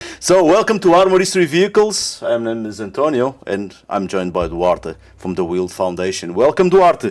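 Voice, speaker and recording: With a Portuguese accent, the speaker moves at a moderate pace with very wide pitch swings and hardly any pauses, in a very clean recording with a silent background. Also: man, medium pitch for a man. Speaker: podcast host. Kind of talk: podcast interview.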